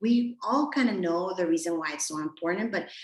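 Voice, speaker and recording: A woman talks at a fairly quick pace with lively intonation. Noticeable background noise can be heard behind her. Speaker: premed advisor. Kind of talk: webinar presentation. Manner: fast.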